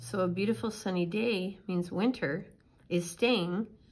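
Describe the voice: Someone is reading aloud. The reading is plain.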